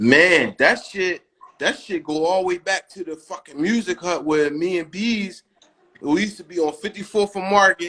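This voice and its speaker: Loud and high-pitched, a man speaks. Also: ordinary pitch variation, moderate pace. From Philadelphia, West Philly. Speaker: rapper. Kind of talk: interview. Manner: stuttering repetitions.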